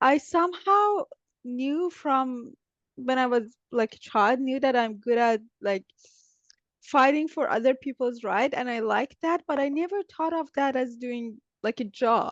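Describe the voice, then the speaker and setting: A woman with a non-native accent and a high pitch, lively intonation, a fairly slow pace, a quiet background, and a dry, close sound with no echo. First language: not English. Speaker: business development specialist in biotech. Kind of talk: interview. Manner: hesitant, many fillers.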